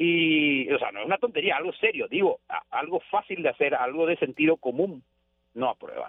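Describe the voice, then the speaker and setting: Moderate in pace, a man speaks. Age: 40s. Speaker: radio journalist. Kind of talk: radio interview.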